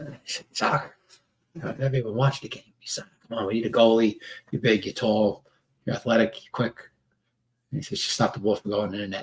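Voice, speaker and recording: A somewhat breathy man with a New York accent at a fairly quick pace, broken by long, frequent pauses. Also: medium pitch for a man, ordinary pitch variation. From New York City (Staten Island). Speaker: men's workshop trainer. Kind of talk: casual live stream monologue. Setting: live video stream. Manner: halting, many fillers.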